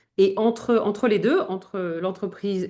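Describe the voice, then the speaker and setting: A woman speaks at a fairly slow pace. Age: 50s. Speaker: image consultant. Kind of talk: interview conversation. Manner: hesitant, many fillers.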